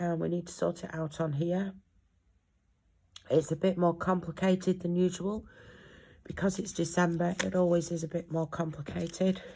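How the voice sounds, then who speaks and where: A woman with a fairly low, somewhat breathy voice speaks at a moderate pace in a flat monotone. Her speech is broken by long, frequent pauses. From North West England. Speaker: budgeting vlogger. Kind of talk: casual vlog. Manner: hesitant, many fillers.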